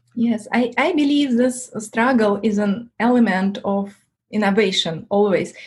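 Speaking with a non-native accent, a woman has a fairly high, somewhat breathy voice with ordinary pitch variation. Her pace is fairly slow and her loudness very even. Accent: foreign-accented English. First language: not English. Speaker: tech entrepreneur. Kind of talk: interview. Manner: halting, many fillers.

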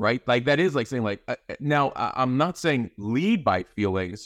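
An unremarkable speaking voice with lively intonation, at a moderate pace. The sound is dry and close with no echo, on a very clean recording with a silent background. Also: man. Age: 40s. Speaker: podcast host appearing as guest. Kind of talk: casual chat.

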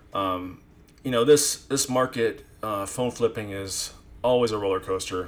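A man talks here. He has a normal speaking voice. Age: 40s. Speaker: phone flipper and direct buyer. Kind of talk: casual podcast chat.

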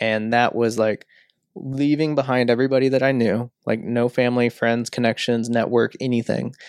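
A man talks at a moderate pace and medium pitch in an unremarkable speaking voice. His intonation is fairly even, loudness very even, and the sound dry and close with no echo. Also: very clean recording, silent background. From St. Louis area, US Midwest. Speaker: entrepreneur, media studio co-founder. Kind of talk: casual interview chat.

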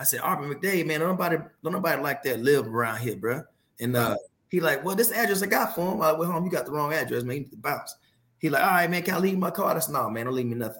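A man with an American accent and a fairly high pitch speaks at a very fast pace with lively intonation. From Texas, Fort Worth. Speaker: retired Marine, war veteran. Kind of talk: casual chat. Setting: video call. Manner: animated.

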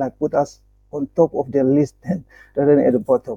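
A man speaks with a dark, mellow tone and ordinary pitch variation. The sound is dry and close, with no echo. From Papua New Guinea. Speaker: nonprofit manager. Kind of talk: interview. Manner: halting, with frequent fillers.

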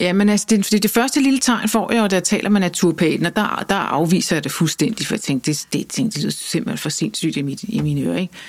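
A woman speaks at a fairly quick pace with hardly any pauses and lively intonation. Her pitch is medium, with vocal fry. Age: 50s. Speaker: journalist and author. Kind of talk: interview.

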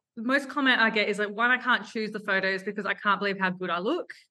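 The speaker has an Australian accent and a bright, sharp tone at a fairly quick pace. The background is quiet. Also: woman. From Adelaide, Australia. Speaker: photographer and business owner. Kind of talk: casual interview chat.

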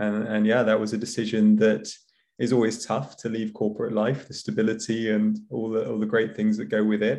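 Fairly quick, monotone, flat speech from a man with a British accent, fairly low in pitch and dark, mellow in tone. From UK. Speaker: startup founder, insurance professional. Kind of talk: interview chat.

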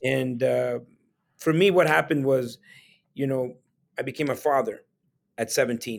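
Speaking with a Spanish accent, a man leaves long, frequent pauses. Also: moderate pace. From El Salvador. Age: 40s. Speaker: real estate investor. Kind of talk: casual interview conversation. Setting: video call.

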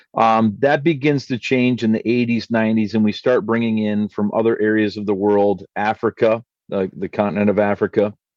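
This man has a normal speaking voice with a fairly low pitch and fairly even intonation, delivered at a moderate pace. The sound is dry and close with no echo, over a quiet background. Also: hardly any pauses. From Canada. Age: 50s. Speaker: pastor. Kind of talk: casual chat.

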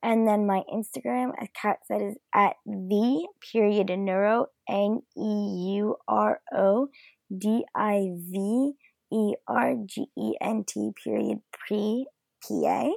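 A woman speaks at a very slow pace. The sound is dry and close with no echo. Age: 20s. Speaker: pre-physician assistant student. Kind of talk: interview.

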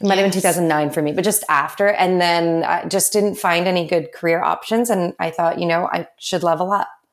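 A woman with an ordinary speaking voice talks at a fairly quick pace, fairly low in pitch with fairly even intonation, very even loudness and hardly any pauses. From Canada, Vancouver. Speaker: entrepreneur. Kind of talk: casual chat.

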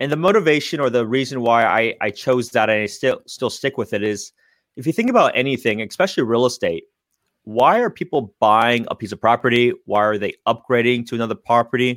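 A man with an American accent speaks at a medium pitch and fairly quick pace in an ordinary speaking voice with ordinary pitch variation, recorded dry and close with no echo and a silent background in a very clean recording. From San Francisco Bay Area, California. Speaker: real estate agent. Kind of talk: interview.

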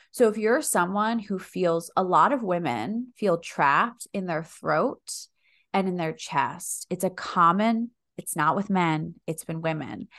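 In an American accent, a woman talks at a fairly slow pace with lively intonation in a plain, everyday voice, with a quiet background. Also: medium pitch for a woman. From US Northeast, Philadelphia area. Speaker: breathwork practitioner and former lawyer. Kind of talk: casual chat.

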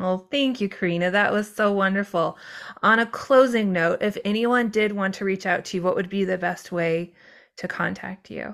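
With a very clean recording and a silent background, a woman speaks at medium pitch and a moderate pace with fairly even intonation, in a plain, everyday voice. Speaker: podcast host and life coach. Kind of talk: interview intro and chat.

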